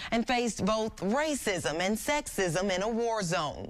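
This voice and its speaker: A woman's normal speaking voice, fairly high in pitch, with lively intonation. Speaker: TV news anchor and reporter. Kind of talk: TV news anchoring and field reporting. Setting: on-location field reporting.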